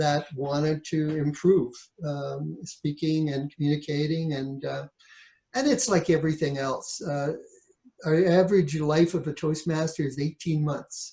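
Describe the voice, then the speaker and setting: A man with a Canadian accent speaks at a fairly high pitch in a dark, mellow tone, his intonation fairly even. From Ontario, Canada. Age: 60s. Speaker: author and realtor. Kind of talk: interview.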